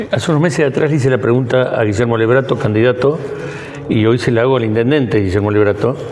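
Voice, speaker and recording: A man at a very fast pace, very even in loudness, with audible room echo and noticeable background noise. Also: medium pitch for a man, ordinary pitch variation. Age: 60s. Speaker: interviewer. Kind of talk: interview.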